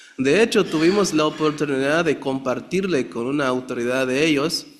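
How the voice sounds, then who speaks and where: A man with a Chiapas accent speaks at a fairly high pitch and a moderate pace. His pitch varies in an ordinary way over noticeable background noise. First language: Tzeltal (speaking Spanish). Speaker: pastor. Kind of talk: testimony. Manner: halting.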